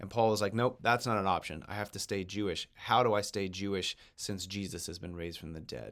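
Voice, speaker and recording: At a fairly quick pace, a man speaks with hardly any pauses. His pitch is fairly low. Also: ordinary pitch variation. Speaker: Sunday school teacher. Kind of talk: recorded lecture. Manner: hesitant, repeats words.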